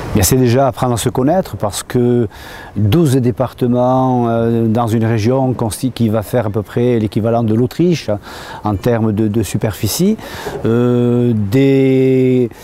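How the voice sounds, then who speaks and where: A man at a very slow pace, his loudness very even, with noticeable background noise. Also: medium pitch for a man, fairly even intonation. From French Basque Country. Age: 60s. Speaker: mayor. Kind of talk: interview testimony.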